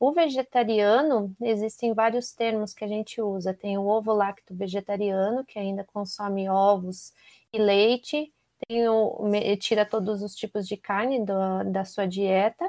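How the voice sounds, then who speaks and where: A plain, everyday voice, a woman at medium pitch and a fairly slow pace, fairly even intonation, dry and close with no echo, on a very clean recording with a silent background. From Brazil, Curitiba. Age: 30s. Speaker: nutritionist. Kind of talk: interview.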